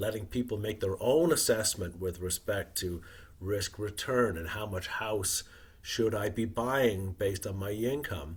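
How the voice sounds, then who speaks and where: A man talks at a moderate pace in a fairly low pitch with ordinary pitch variation. His voice is somewhat breathy. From Wales. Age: 60s. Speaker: retired investor and author. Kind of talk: podcast interview.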